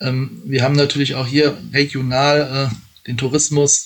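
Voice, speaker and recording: Against noticeable background noise, a man speaks at a medium pitch in a monotone, flat intonation. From Rheinhessen, Rhineland-Palatinate. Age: 40s. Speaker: election candidate. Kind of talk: interview. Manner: hesitant, many fillers.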